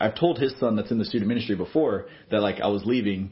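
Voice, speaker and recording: A man with an American accent talks at a very fast pace, his medium-pitched voice somewhat breathy and ordinary in its pitch variation. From Texas. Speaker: student pastor. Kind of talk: interview. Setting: office.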